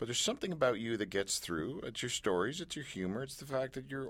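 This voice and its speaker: On a very clean recording with a silent background, a man with a Canadian accent uses lively intonation at a medium pitch, with vocal fry. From Canada. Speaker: radio host. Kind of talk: casual chat. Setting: studio.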